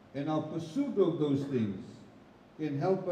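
A man is heard with audible room echo. There is light background noise. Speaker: guest. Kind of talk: speech at religious gathering.

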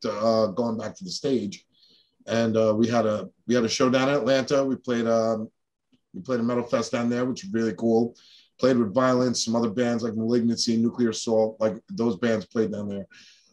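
A man keeps a moderate pace and fairly even intonation, with a quiet background behind him. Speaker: guest. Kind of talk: interview answer. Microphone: video call.

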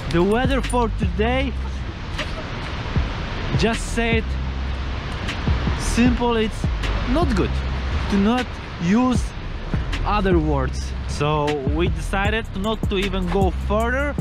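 Very slow male speech with long, frequent pauses, music in the background, and a dry sound with no echo. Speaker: travel vlogger. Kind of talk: casual vlog chat. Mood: disappointed about the weather. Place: open country. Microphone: phone near.

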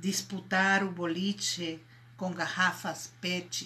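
Speaking at a very slow pace, a woman uses a fairly low pitch and a bright, sharp tone. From Venezuela. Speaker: multi-artist. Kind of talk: poetry reading. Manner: slow, expressive. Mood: calm, reflective. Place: home room. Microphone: phone near.

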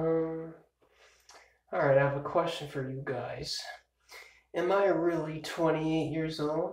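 The speech comes at a very slow pace with long, frequent pauses. The intonation is monotone and flat, and audible room echo surrounds it. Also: man, fairly high pitch for a man. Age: 20s. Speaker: vlogger. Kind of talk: casual birthday vlog monologue. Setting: filmed on a phone or camcorder at home, early morning. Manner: rambling with many fillers. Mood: relaxed, playful birthday musing. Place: home room. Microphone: phone near.

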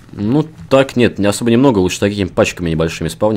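Lively intonation marks a man's speech, with noticeable noise in the background. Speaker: gaming channel host. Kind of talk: casual gameplay chat. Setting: game recording, online server.

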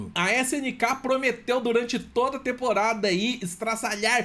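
With a Brazilian accent, a man speaks in an extremely high voice and an animated tone, at a moderate pace with ordinary pitch variation. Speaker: gaming youtuber. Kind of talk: trailer reaction commentary. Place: home room.

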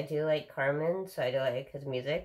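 A woman's very deep, low voice at a fairly slow pace against a quiet background. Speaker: daily vlogger. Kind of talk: casual vlog chat. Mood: relaxed, laughing at times. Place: home room. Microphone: phone near.

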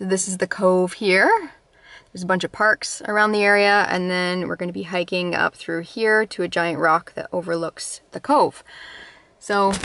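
The speaker has a bright, sharp tone and fairly even intonation, talking at a moderate pace in a dry sound with no echo. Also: woman. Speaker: vlogger. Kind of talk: casual vlog chat. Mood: cheerful, relaxed. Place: car. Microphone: phone near.

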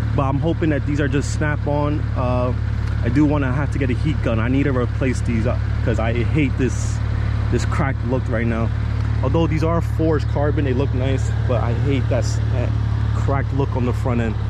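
A man with an American accent speaks at a moderate pace, his voice dry with no echo over loud background noise. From New Jersey. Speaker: car YouTuber. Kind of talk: casual vlog walkaround. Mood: relaxed, a bit self-conscious. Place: street. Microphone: phone near.

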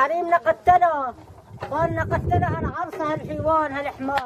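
The speech moves at a fairly slow pace with ordinary pitch variation. Noticeable background noise is present. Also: woman. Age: old. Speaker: villager cooking outdoors. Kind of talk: street interview. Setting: outdoors. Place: open country. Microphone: phone near.

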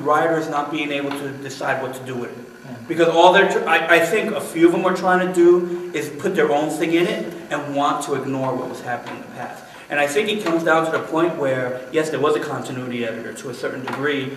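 With hardly any pauses and ordinary pitch variation, a man speaks through audible room echo and light background noise. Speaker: podcast panelist. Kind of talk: casual discussion. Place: office. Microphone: camera far.

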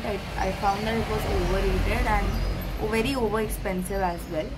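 A woman speaks over loud background noise. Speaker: travel vlogger. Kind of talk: casual vlog chat. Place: home room. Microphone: phone near.

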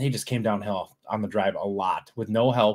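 The pace is fairly quick. Intonation stays fairly even. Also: man.

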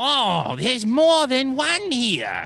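A put-on character voice at a high pitch plays over faint background music.

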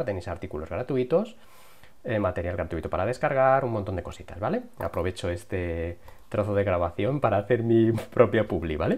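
Delivered at a moderate pace, the speech carries a lively intonation. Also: man. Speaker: YouTube tutorial creator. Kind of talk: tutorial. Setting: home recording with lavalier mic. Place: home room.

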